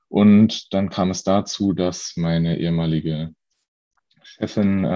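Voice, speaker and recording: Very deep, low pitch from a man, with fairly even intonation. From Lower Saxony, Germany. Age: 20s. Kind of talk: personal testimony interview. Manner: hesitant, many fillers.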